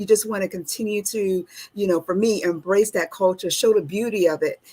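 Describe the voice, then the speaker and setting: A woman with an American accent, a dark, mellow tone at medium pitch, fairly even intonation and a fairly quick pace. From US, Washington DC. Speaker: military veteran and nonprofit founder. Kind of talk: interview.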